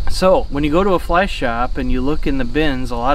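With light background noise and a dry sound with no echo, a man talks at a moderate pace. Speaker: fishing guide. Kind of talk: tutorial. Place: waterside.

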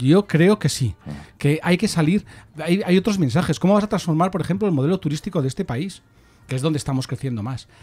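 Talking at a fairly quick pace, a man with a fairly high pitch and a dark, mellow tone uses lively intonation. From Spain. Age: 60s. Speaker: political commentator. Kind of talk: casual chat. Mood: earnest, argumentative. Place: studio. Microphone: studio mic.

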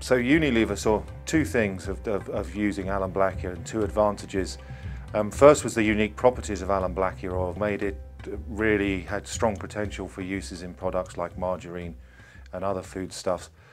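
Faint music sits in the background as a man with a very deep, low pitch speaks at a fairly quick pace. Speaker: interviewee. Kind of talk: interview answer. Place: office. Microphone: lapel.

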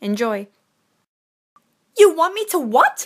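In a cartoonish character voice, the speaker goes extremely high in pitch with very wide pitch swings. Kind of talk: audition for fan animation characters. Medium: voice reel.

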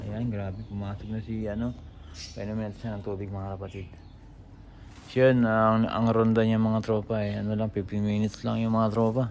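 A man's fairly low voice, flat and monotone, at a moderate pace with audible room echo. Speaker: pigeon-racing hobbyist vlogger. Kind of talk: casual vlog talk to viewers.

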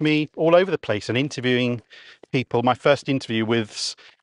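A man talks with a southern English accent and ordinary pitch variation. The sound is dry with no echo, over a quiet background. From Kent, southeast England; southeast England. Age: 40s. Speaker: radio presenter. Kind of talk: casual chat. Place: open country. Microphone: lapel.

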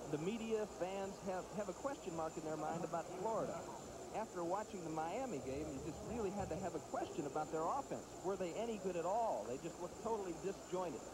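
Noticeable background noise sits behind a man speaking at a fairly quick pace. His pitch is high, with ordinary variation. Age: 30s. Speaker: football color commentator. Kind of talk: live commentary. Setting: stadium broadcast booth.

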